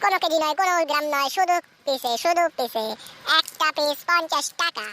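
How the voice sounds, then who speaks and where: In a squeaky, cartoonish character voice, a woman speaks at extremely high pitch and a fairly slow pace. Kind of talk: comic overacting. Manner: loud, repetitive sales patter.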